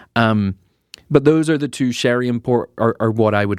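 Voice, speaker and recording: On a very clean recording with a silent background and a dry, close sound with no echo, a man talks with a non-native accent. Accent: non-American accent, drops H in herbs. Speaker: podcast co-host. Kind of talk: casual chat.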